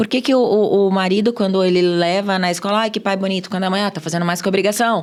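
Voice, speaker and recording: A woman talks at a very fast pace in a medium pitch with ordinary pitch variation. Noticeable background noise runs behind her. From Brazil, Minas Gerais. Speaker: sales expert. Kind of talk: podcast interview.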